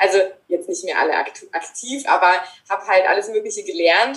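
Very wide pitch swings run through the speech of a woman. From Germany. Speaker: author and mindfulness trainer. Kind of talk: interview. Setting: remote call.

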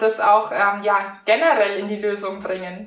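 Speaking fairly slowly at a fairly high pitch, a woman's voice carries audible room echo. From Franconia, Germany. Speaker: mental coach and mountain bike instructor. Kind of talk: interview.

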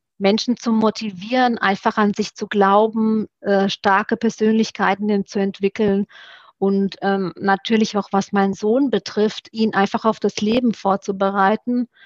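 A woman's medium-pitched voice, fairly slow, with monotone, flat intonation and very even loudness. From Romania (Satu Mare), moved to Germany at 12. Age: 40s. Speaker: former Olympic fencer. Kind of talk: podcast interview.

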